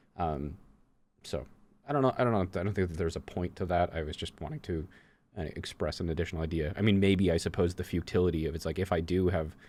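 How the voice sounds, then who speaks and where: Over a very clean recording with a silent background, a man speaks very fast. His pitch is very deep and low, with ordinary pitch variation. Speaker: gaming coach and content creator. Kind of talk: casual conversation. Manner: halting, many fillers and restarts; stutters at times.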